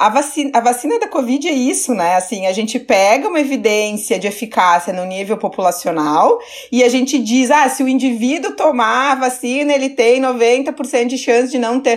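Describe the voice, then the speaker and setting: Noticeable background noise sits behind a woman speaking at a moderate pace. Her pitch is high and her intonation lively. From southern Brazil, Caxias do Sul (Rio Grande do Sul). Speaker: nutrition professor. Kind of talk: interview, academic explanation.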